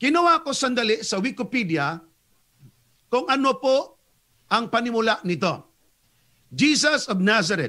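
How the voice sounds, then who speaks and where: A man's extremely high, raised and projected voice, bright and sharp, fairly slow, with very wide pitch swings and long, frequent pauses. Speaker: Seventh-day Adventist evangelist debater. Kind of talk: religious debate.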